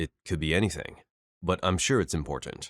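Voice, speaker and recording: Using a put-on character voice, a man growls out gruff, very deep, low-pitched lines at a fairly quick pace in a dry, close sound with no echo. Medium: read story.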